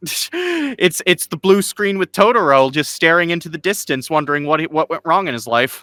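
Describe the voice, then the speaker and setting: Bright and sharp in tone, a man talks at a fairly quick pace and high pitch with lively intonation, the sound dry and close with no echo. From Colorado. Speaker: podcast co-host. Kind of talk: casual chat. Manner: animated.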